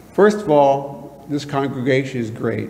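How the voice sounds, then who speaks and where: With audible room echo, a man speaks at a fairly slow pace in a fairly high pitch. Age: 60s. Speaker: retired police officer, guest speaker. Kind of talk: guest talk in church. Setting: church congregation.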